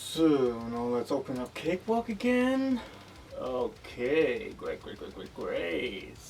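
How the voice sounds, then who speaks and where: A quiet man speaks at a very slow pace with big swings in loudness. Noticeable background noise sits behind him. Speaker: music production youtuber. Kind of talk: gear unboxing tutorial. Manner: loud at start, quieter as video goes on.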